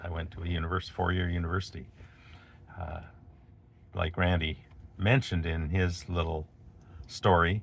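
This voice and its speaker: In a Canadian accent, a man with a very deep, low pitch speaks at a moderate pace with long, frequent pauses, fairly even intonation and a somewhat breathy sound. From Canada, Alberta. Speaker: video blogger. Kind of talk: storytelling monologue. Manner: casual, with fillers.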